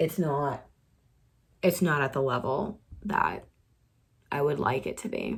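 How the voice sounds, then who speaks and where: A woman with a very deep, low voice speaks at a fairly slow pace. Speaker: author vlogger. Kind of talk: casual vlog. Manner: halting, filler-heavy.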